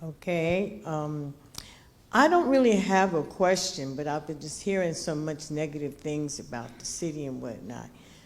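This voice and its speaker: A woman with an American accent and a very deep, low pitch, with ordinary pitch variation, big swings in loudness and audible room echo. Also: moderate pace. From Newark, New Jersey. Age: 70s. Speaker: community resident speaking at public meeting. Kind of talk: public comment at community meeting. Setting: public meeting hall with audience, microphone.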